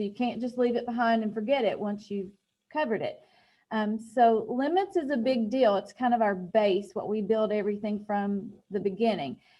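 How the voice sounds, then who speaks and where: Against a quiet background, a woman talks at a fairly high pitch in a dark, mellow tone with ordinary pitch variation. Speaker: high school math teacher. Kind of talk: lecture.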